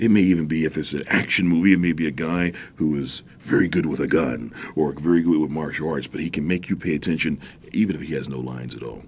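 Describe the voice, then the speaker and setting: Very fast and very deep, a man's low voice carries vocal fry. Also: ordinary pitch variation. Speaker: voiceover artist and acting teacher. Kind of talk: interview. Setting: studio.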